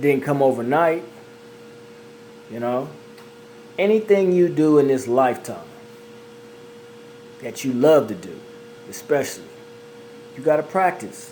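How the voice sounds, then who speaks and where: The delivery is animated, with big swings in loudness and long, frequent pauses. Noticeable background noise and audible room echo fill the recording. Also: man, fairly high pitch for a man, lively intonation, moderate pace. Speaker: amateur singer and video creator. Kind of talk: casual monologue.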